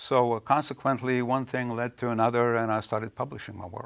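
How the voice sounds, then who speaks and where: A man with a Lithuanian accent speaks at a fairly quick pace in a medium pitch. The recording is very clean with a silent background. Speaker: author. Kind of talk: interview. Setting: studio. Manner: hesitant, with fillers.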